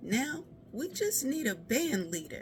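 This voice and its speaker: A man's put-on character voice, extremely high-pitched with very wide pitch swings, at a fairly slow pace over clear background noise. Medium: read story. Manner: warm, encouraging.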